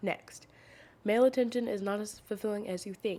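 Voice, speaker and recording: Soft-spoken and with a dark, mellow tone, a woman talks at a moderate pace. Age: 20s. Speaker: podcast host. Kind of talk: casual chat. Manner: quiet, soft-spoken; casual, many fillers.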